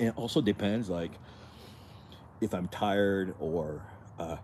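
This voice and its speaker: With a slight French accent, a man speaks at a fairly slow pace, with long, frequent pauses, big swings in loudness and ordinary pitch variation. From France (Paris), moved to US. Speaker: fitness streamer. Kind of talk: live stream chat. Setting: outdoors. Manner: halting, many repeated words.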